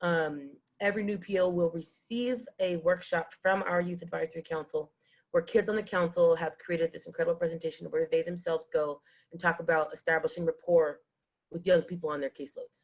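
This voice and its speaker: A woman with a fairly low pitch speaks at a fairly quick pace with fairly even intonation. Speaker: nonprofit youth program leader. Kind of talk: panel presentation. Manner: fast.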